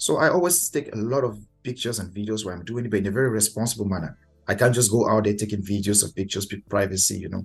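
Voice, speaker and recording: A man's fairly low voice with a Cameroonian accent, ordinary pitch variation and music in the background. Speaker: master of ceremonies and event host. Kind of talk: casual interview chat.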